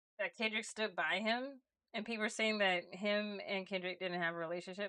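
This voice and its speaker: A woman with an American accent sounds bright and sharp, her voice dry and close with no echo on a very clean recording over a silent background. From Los Angeles. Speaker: streamer and illustrator. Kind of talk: casual chat. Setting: live stream.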